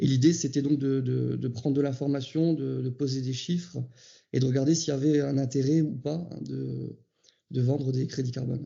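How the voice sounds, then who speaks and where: A man speaks at a fairly quick pace and medium pitch. His voice is somewhat breathy, with fairly even intonation. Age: 30s. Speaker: farmer. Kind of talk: interview testimony. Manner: hesitant, many fillers.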